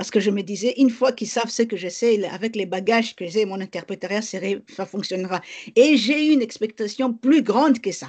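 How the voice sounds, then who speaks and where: Talking at a fairly quick pace, a woman with an unremarkable speaking voice and fairly high pitch shows ordinary pitch variation and big swings in loudness. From DR Congo (Kinshasa and Bas-Congo). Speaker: lawyer and activist. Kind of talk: interview.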